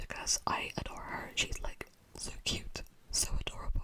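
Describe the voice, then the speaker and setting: A fairly slow whisper comes through noticeable background noise. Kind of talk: ASMR whisper talk about a game, casual chat to camera. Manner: whispered, soft-spoken.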